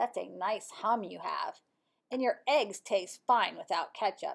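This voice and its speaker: Using a put-on character voice, a woman talks at a fairly slow pace and a fairly high pitch. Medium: read story.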